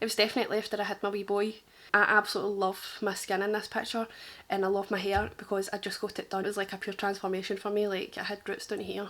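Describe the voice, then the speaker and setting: In a very clean recording with a silent background, a woman with a medium pitch talks at a very fast pace in a strong Glaswegian accent. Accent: thick Glaswegian. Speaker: makeup artist. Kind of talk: casual reaction chat. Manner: animated.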